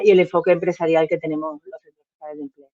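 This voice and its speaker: Here a woman talks with a fairly low pitch. There is no echo, just a dry, close sound. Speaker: representative of a social enterprise association. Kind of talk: presentation at an online workshop. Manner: fast.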